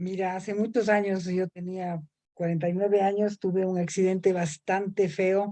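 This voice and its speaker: This woman speaks at a medium pitch in monotone, flat intonation. The sound is dry and close, with no echo. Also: moderate pace. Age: 60s. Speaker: horse therapy practitioner. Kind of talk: testimony.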